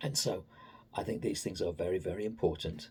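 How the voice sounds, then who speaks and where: A somewhat breathy man's voice with an English accent and lively intonation. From England. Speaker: political commentator. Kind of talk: opinion monologue. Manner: halting.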